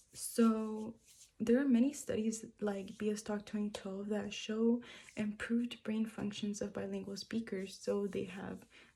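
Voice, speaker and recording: A woman with a Spanish accent speaks at a fairly slow pace in a dark, mellow, somewhat breathy tone, her fairly high pitch held in monotone, flat intonation. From moved to the US from a Spanish-speaking country at age five. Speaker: student. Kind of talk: persuasive speech. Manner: hesitant, with frequent fillers.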